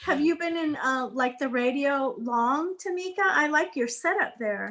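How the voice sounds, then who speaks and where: Loud and high-pitched, this woman's voice has lively intonation. She speaks with hardly any pauses. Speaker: guest speaker on a notary business show. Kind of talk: casual chat. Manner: animated.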